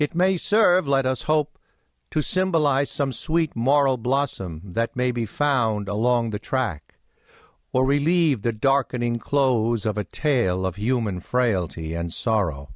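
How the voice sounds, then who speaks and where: A man at medium pitch with very wide pitch swings, a fairly slow pace and very even loudness, dry and close with no echo against a quiet background. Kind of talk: audiobook narration, reading aloud a 19th-century novel. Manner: measured, formal, unhurried literary delivery.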